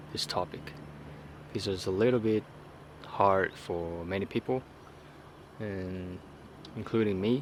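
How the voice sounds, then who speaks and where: A man with a Chinese accent, fairly low in pitch, at a very slow pace with fairly even intonation. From southern China. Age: 30s. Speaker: vlogger. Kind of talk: unscripted personal vlog. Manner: halting, many fillers.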